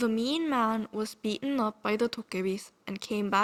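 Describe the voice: Someone is reading out loud plainly. Ordinary pitch variation runs through it.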